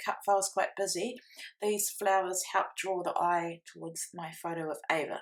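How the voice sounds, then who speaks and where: This is a woman speaking with a New Zealand accent. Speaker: scrapbooking crafter. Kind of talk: tutorial. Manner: fast.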